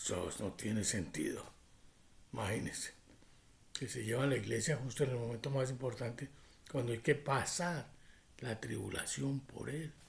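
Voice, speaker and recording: With vocal fry and long, frequent pauses, a man talks at a moderate pace in a medium pitch with ordinary pitch variation. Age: 60s. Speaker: prophecy preacher. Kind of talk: religious teaching monologue.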